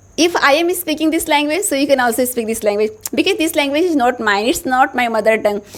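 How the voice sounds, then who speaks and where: A woman with an Indian accent speaks at a high pitch with lively intonation. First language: Hindi. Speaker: English teacher, YouTuber. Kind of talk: motivational tutorial.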